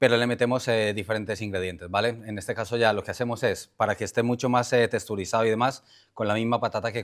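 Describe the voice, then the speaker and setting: A man's fairly low voice at a fairly quick pace, monotone and flat, on a very clean recording with a silent background. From Colombia. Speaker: chef. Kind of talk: talk explaining a recipe. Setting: conference with audience.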